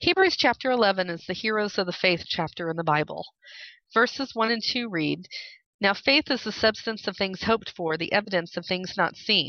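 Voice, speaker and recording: At a moderate pace, a woman speaks at medium pitch with ordinary pitch variation in an ordinary speaking voice. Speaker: podcast host. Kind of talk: casual chat.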